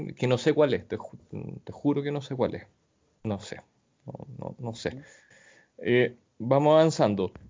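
A man with a Chilean accent and medium pitch, fairly slow with long, frequent pauses and ordinary pitch variation. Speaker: podcast host. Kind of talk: casual chat.

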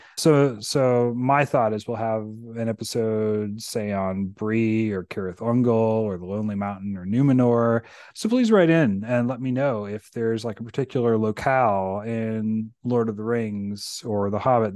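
An American-accented man with a plain, everyday voice speaks at a medium pitch and a moderate pace, with hardly any pauses. His intonation stays fairly even over a quiet background. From rural Virginia, US. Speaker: podcast host. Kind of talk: casual chat.

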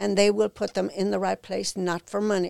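Speaking with an Irish accent, a woman keeps a medium pitch, a moderate pace and fairly even intonation. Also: dry, close sound with no echo. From Ireland. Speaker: founder of a sober living home for women. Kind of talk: casual interview.

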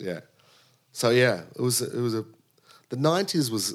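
With an Australian accent, the speaker goes at a fairly quick pace with ordinary pitch variation on a very clean recording with a silent background. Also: man. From Sydney, Australia. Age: 40s. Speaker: drummer and music director. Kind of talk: casual interview. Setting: home.

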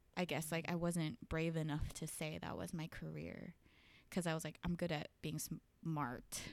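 In a very clean recording with a silent background, a woman with an American accent speaks at a fairly slow pace with a very deep, low pitch, vocal fry and fairly even intonation. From Los Angeles San Fernando Valley. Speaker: animatic assistant editor. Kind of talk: casual interview.

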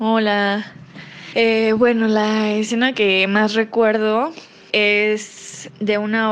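The voice belongs to a woman. Noticeable background noise can be heard. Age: 20s. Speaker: theatre audience member. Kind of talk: voice note testimony.

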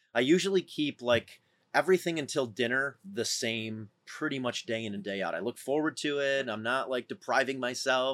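A man of medium pitch speaks at a moderate pace in a plain, everyday voice with an American accent. The sound is dry and close with no echo, on a very clean recording with a silent background. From upstate New York, Syracuse area. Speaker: endurance athlete and entrepreneur. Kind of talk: casual interview.

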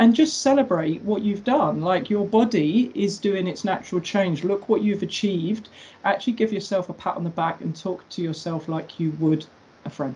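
The voice is somewhat breathy with a dark, mellow tone, moving at a moderate pace with lively intonation. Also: woman, medium pitch for a woman. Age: 40s. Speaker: personal trainer. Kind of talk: casual chat.

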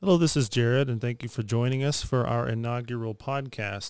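An unremarkable speaking voice with an American accent talks at a fairly quick pace with fairly even intonation. The recording is very clean, with a silent background. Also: man. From Texas, Amarillo. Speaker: podcast co-host, mechanical engineer. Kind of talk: casual chat.

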